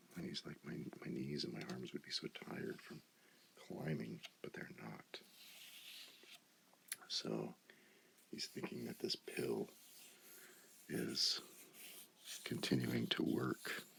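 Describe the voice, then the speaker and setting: The speaker whispers very slowly, with pauses that are long and frequent. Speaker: ASMR creator. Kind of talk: ASMR comic book reading. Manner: soft-spoken.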